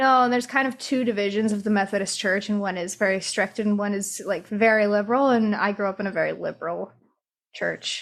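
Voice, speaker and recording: A fairly quick, fairly even voice with a Midwestern accent in a very clean recording with a silent background. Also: woman, medium pitch for a woman. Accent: Midwest US. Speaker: podcast co-host. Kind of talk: casual chat.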